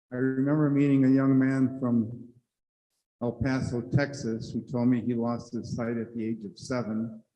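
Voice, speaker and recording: A man talks at a moderate pace in a medium pitch, with a dark, mellow tone. His intonation is monotone and flat, and audible room echo surrounds him. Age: 70s. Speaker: panelist sharing personal story. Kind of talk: personal testimony on a conference panel. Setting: conference room with audience.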